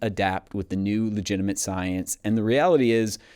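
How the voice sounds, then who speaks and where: A man with fairly low pitch speaks at a moderate pace in an unremarkable speaking voice with ordinary pitch variation, on a very clean recording with a silent background. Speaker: health podcast host. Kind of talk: solo podcast monologue.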